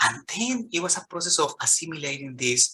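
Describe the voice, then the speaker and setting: A man is speaking. He talks with a Colombian accent. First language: Spanish. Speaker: physician. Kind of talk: interview. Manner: halting.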